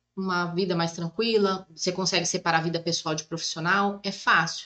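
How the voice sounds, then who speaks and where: It is an ordinary speaking voice from a woman. She moves at a fairly quick pace with fairly even intonation. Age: 30s. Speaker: psychoanalyst and massage therapist. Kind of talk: casual chat.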